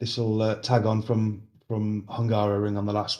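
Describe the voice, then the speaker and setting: Speaking with a Birmingham accent, a man has a dark, mellow tone and a monotone, flat intonation. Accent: Brummie. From Birmingham, England. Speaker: sim racing sponsor and commentator. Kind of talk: casual chat.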